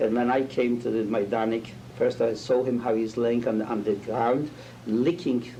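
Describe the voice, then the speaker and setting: A man at a medium pitch and a moderate pace, with noticeable background noise. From Poland. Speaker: Holocaust survivor, rabbi. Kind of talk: testimony interview. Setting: interview with students. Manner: halting, searching for words.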